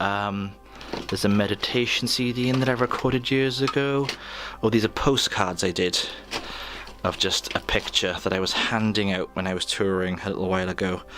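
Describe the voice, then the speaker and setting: A man's fairly low, relaxed voice at a fairly quick pace, with ordinary pitch variation and noticeable background noise. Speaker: artist and musician. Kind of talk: casual talk to camera. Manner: relaxed, joking.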